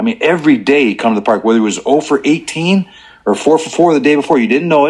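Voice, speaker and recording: A very fast-talking man with an American accent and lively intonation. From Chicago area, US Midwest. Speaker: former pro baseball player. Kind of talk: casual interview. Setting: phone call.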